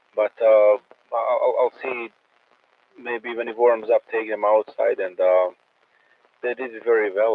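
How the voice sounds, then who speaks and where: With a Croatian accent, a man talks at a moderate pace. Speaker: amateur radio operator. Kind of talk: casual chat. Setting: radio net. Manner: halting, many repetitions.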